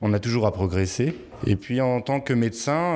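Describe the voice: A man's fairly slow speech with a slightly mellow tone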